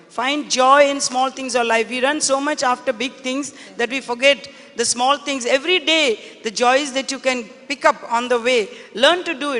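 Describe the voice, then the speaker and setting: A high-pitched female voice over noticeable background noise. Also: fairly even intonation, moderate pace. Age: 70s. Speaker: business leader and philanthropist. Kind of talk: panel interview on stage.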